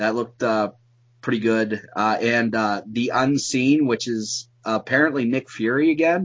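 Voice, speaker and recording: A man speaks at medium pitch with ordinary pitch variation. He has an unremarkable speaking voice and a moderate pace. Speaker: YouTuber. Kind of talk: casual chat.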